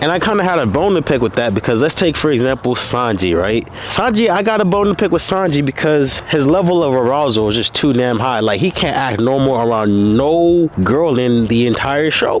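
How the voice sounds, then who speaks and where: Talking at a fairly quick pace with hardly any pauses, a man keeps very even loudness while his fairly high pitch makes very wide swings, with noticeable background noise behind him. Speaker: content creator vlogging about anime. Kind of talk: casual vlog monologue. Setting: outdoors. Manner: animated.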